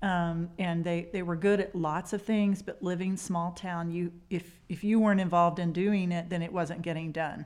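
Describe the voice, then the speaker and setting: Recorded very cleanly against a silent background, a woman with a Texas accent talks at a moderate pace with hardly any pauses, in a fairly low pitch and a monotone, flat intonation. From Texas Panhandle. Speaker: mayor. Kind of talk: interview.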